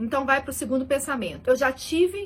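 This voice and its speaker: A woman speaks in a raised, projected voice with an animated tone. Her pitch sits high. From Belo Horizonte, Minas Gerais, Brazil. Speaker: accountant and finance YouTuber. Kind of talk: casual explainer video.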